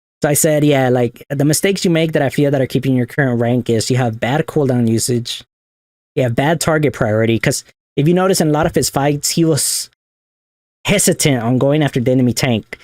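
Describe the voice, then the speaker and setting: Recorded dry and close with no echo, a man talks at a fairly quick pace in a fairly high pitch, with ordinary pitch variation and very even loudness. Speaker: gaming coach. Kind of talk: tutorial. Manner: fast; casual.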